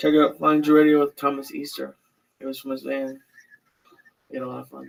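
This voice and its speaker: Putting on a character voice, a man mumbles at a fairly quick pace and medium pitch, with big swings in loudness. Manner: mumbling and unenthusiastic.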